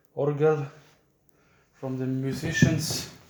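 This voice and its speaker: The speaker has a Swiss German accent and a monotone, flat intonation. Audible room echo surrounds the voice. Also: man. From Switzerland. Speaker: church caretaker giving a tour. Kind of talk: casual video tour narration. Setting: inside a church tower. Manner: halting.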